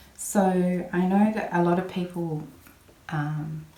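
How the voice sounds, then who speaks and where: Audible room echo surrounds a woman speaking in a monotone, flat intonation. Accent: Australian. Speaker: papercraft video maker. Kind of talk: crafting tutorial. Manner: mumbling a bit; casual, chatty.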